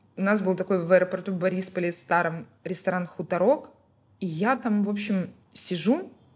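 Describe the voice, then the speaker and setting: Against a quiet background, a somewhat breathy voice moves at a moderate pace. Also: woman. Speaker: restaurant founder and food blogger. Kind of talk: casual podcast interview.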